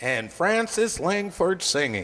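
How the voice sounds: In a put-on character voice, a man speaks slowly at a fairly high pitch, with big pitch swings. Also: fairly bright tone.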